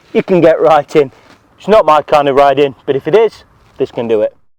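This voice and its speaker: A man with an English accent is recorded with a dry, close sound and no echo. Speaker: motorcycle reviewer. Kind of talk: product review. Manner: fast; animated.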